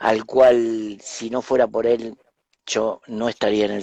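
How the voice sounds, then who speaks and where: A man speaks at a medium pitch and a fairly slow pace in a dark, mellow tone. The sound is dry and close, with no echo. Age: 60s. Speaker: spiritual teacher and author. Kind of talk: interview, personal storytelling. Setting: live stream.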